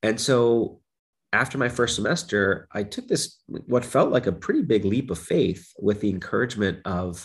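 A man with an American accent speaks at a moderate pace, his voice somewhat breathy and medium in pitch. His pitch varies in an ordinary way, and the background is quiet. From Brooklyn, New York. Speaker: psychology professor. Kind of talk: interview.

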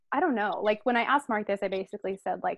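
A woman speaks at medium pitch with ordinary pitch variation.

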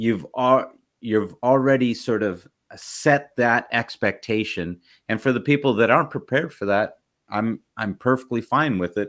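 In a very clean recording with a silent background, a man with an ordinary speaking voice talks at a medium pitch and a moderate pace with ordinary pitch variation. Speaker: podcast host. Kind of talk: interview, casual conversation.

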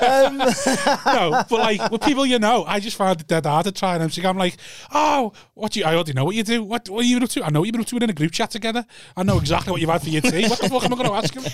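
On a very clean recording with a silent background, a man with a Liverpool accent talks at a very fast pace and a high pitch. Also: lively intonation. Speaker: stand-up comedian, podcast co-host. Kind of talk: casual, sweary banter. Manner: fast talker.

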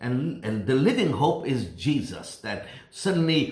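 A man talks at a moderate pace and medium pitch, with ordinary pitch variation. It is a plain, everyday voice. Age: 60s. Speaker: pastor. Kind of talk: sermon. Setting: recorded at home.

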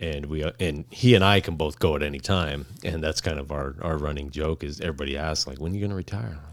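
A man talks at a very fast pace with hardly any pauses. His pitch is very deep and low, with vocal fry. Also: ordinary pitch variation. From Arizona, Phoenix. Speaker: law enforcement officer. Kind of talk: casual chat.

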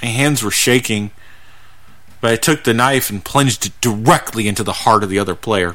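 The voice belongs to a man with a bright, sharp tone. He keeps a moderate pace. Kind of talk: dramatic first-person horror narration, grim confessional story read aloud.

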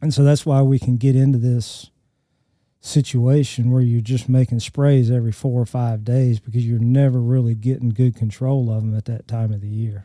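A man with an Alabama accent speaks at a moderate pace and medium pitch in a dark, mellow tone, his delivery monotone and flat, on a very clean recording with a silent background. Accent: Southern US (Alabama). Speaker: crop entomologist. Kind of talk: casual technical discussion. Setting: studio.

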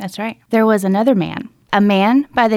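A woman with an Alabama accent talks at a medium pitch. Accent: Southern US (Alabama). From US South, rural Alabama. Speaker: podcast co-host. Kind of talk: true crime storytelling chat.

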